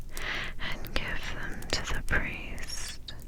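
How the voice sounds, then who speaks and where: Noticeable background noise surrounds a woman whispering at a very slow pace. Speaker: ASMR Bible reader. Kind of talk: scripture reading. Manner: whispered.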